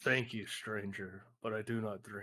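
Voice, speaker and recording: A man's put-on character voice, fairly low in pitch, at a moderate pace with monotone, flat intonation. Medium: actual play. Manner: formal, earnest.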